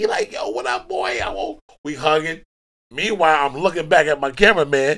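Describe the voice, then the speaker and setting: At a fairly quick pace, a man speaks in an animated tone with lively intonation and a fairly high pitch. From Brooklyn, New York. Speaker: music industry manager. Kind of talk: casual chat. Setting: studio.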